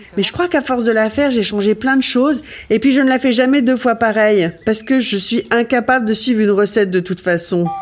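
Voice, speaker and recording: A woman talks at a fairly quick pace and a fairly high pitch, with ordinary pitch variation. Her loudness stays very even, and there is noticeable background noise. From Ardennes, north-east France. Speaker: cooking show host. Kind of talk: recipe tutorial. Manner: casual, chatty.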